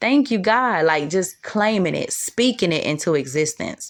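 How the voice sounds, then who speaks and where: The woman's moderately paced speech comes through in a very clean recording with a silent background. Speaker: tarot reader. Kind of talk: tarot reading monologue. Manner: animated, excited; stuttering, stumbling over words.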